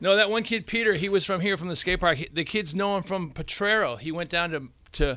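A man with a high-pitched, raised and projected voice talks at a fairly quick pace with ordinary pitch variation, in a very clean recording with a silent background. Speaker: magazine host. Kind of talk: casual chat.

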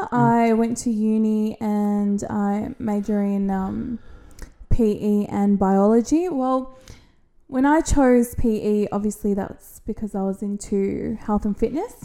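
In an Australian accent, a woman speaks very slowly with a fairly high pitch, fairly even intonation, and a dark, mellow tone. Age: 30s. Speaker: podcast co-host. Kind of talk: casual chat.

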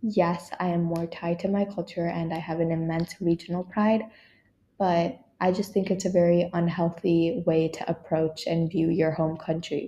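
The voice is somewhat breathy with a dark, mellow tone. It moves at a moderate pace with monotone, flat intonation. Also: woman, fairly low pitch for a woman. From Kerala, India. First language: Malayalam. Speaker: podcast host. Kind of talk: solo podcast monologue. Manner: casual, self-correcting.

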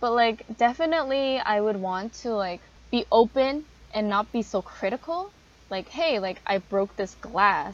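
This woman has a plain, everyday voice at a fairly high pitch. She talks at a fairly slow pace with lively intonation. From Canada, Korean family. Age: 20s. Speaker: university student, podcast co-host. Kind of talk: casual chat.

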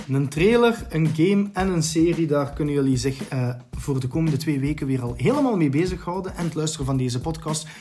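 A man with a fairly high pitch, hardly any pauses and noticeable background noise. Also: ordinary pitch variation, fairly quick pace. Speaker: podcast host. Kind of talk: casual chat.

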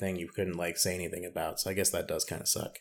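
In a very clean recording with a silent background, a man with an American accent talks at a very fast pace. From US South. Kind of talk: casual chat.

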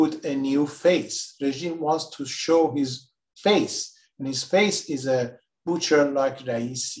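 This man talks at a very slow pace. His fairly high voice shows ordinary pitch variation. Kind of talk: moderated interview discussion. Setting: remote call.

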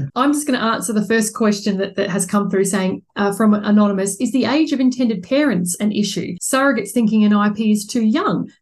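A woman with an Australian accent, fairly high-pitched and somewhat breathy, at a fairly quick pace with hardly any pauses, ordinary pitch variation and very even loudness. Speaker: podcast host and surrogacy support organiser. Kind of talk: interview.

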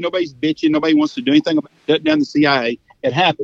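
Speaking with a Texan accent, this voice swings very widely in pitch, recorded with a dry, close sound and no echo. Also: man. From Texas. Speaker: hunting outfitter. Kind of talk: casual chat. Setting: phone call.

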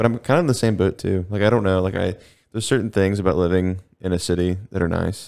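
Very fast and very deep, a man's low-pitched voice is captured in a very clean recording with a silent background. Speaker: podcast host. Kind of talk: casual chat. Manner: fast talker when excited.

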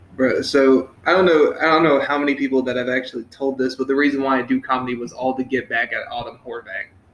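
Over noticeable background noise, a man with a medium pitch talks very fast with fairly even intonation and hardly any pauses. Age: 20s. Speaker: podcast host. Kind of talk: casual chat.

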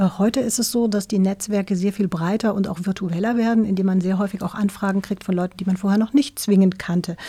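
A woman talks at a very fast pace in a medium pitch with fairly even intonation. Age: 50s. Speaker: tech company CEO. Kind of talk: interview. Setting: studio. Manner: hesitant, many fillers.

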